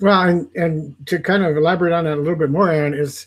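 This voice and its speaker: With ordinary pitch variation, a man speaks at a fairly quick pace, his voice somewhat breathy. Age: 60s. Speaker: network marketing affiliate. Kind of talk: testimony. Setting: live video stream.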